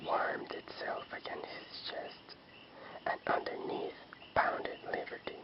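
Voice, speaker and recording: A man is whispering at a fairly slow pace. Noticeable background noise is present. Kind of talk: short story reading. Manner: whispered.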